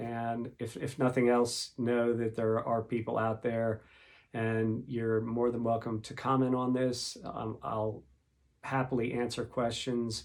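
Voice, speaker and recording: Speaking in a monotone, flat intonation, a man talks at a fairly slow pace and medium pitch. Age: 60s. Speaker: podcaster with Parkinson's disease. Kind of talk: casual monologue podcast. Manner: hesitant, many fillers.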